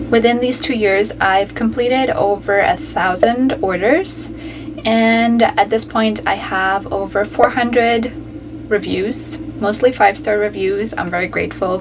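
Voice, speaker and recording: Against noticeable background noise, a woman with a fairly high pitch and ordinary pitch variation speaks at a fairly slow pace. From Germany. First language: German. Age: 20s. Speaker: freelance writer and YouTuber. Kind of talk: casual vlog intro.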